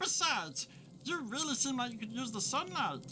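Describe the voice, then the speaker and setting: A female-sounding voice performs a high-pitched, put-on character voice. Clear background noise is present. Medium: audio drama. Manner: chatty, flippant.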